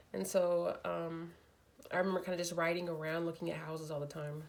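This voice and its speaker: With audible room echo, a woman speaks at a fairly low pitch and with fairly even intonation. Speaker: nurse; vlogger sharing faith testimony. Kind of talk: personal testimony. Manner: casual, halting with many fillers.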